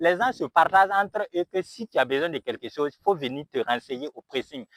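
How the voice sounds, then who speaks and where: A man with a Burkinabè accent, fairly high-pitched, with very wide pitch swings at a moderate pace, on a very clean recording with a silent background and a dry, close sound with no echo. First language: Mooré (speaking French). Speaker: YouTuber and dry-cleaning business owner. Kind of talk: motivational vlog. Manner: halting.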